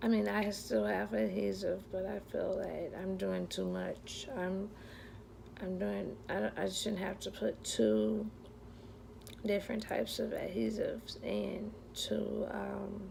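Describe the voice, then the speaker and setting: At a very slow pace, the speech comes through with audible room echo and noticeable background noise. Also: woman. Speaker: vlogger sharing denture experience. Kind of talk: personal vlog. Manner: slurred speech; hesitant, many fillers.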